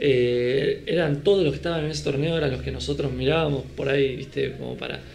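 A man talks at a fairly quick pace over noticeable background noise, with audible room echo. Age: 30s. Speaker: beach volleyball coach and former player. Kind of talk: casual chat.

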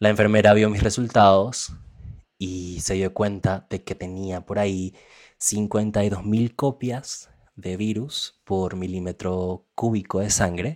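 Speaking very slowly, a man uses a fairly low pitch. The recording is very clean, with a silent background. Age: 20s. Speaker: person living with HIV. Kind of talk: testimony. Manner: halting.

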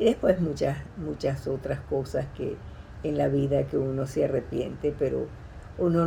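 The speaker is a woman. She talks with a Venezuelan accent. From Venezuela, Caracas. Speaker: retired teacher. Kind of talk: personal testimony. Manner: halting.

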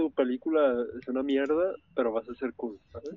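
A man's normal speaking voice at a medium pitch, with lively intonation and a moderate pace. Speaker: podcast co-host. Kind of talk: casual chat.

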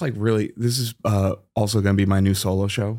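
An ordinary speaking voice with an American accent uses fairly even intonation. The recording is very clean, with a silent background. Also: man. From Massachusetts. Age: 30s. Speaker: stand-up comedian. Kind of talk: casual chat.

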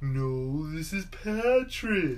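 Pitched high, a man's put-on character voice carries the lines. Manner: dopey.

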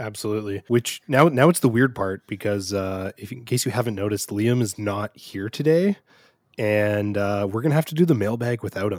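At a fairly quick pace, a man with a fairly low pitch and ordinary pitch variation talks in an unremarkable speaking voice, the sound dry and close with no echo. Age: 30s. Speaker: podcast co-host. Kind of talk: casual chat. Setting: remote call.

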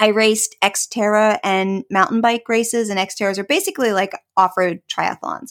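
A woman with an ordinary speaking voice and an American accent, fairly high in pitch, at a moderate pace with ordinary pitch variation, on a very clean recording with a silent background and a dry, close sound with no echo. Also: hardly any pauses. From rural Pennsylvania, US. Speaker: breast cancer survivor and wellness blogger. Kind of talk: casual interview.

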